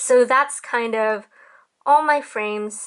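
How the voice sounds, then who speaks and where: The woman's delivery is very slow. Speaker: digital artist. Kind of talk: casual tutorial talk to camera. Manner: uptalk.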